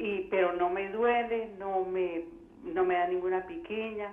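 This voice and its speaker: Amid noticeable background noise and audible room echo, a woman of medium pitch speaks at a fairly slow pace with fairly even intonation. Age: 60s. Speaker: caller. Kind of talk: call-in question.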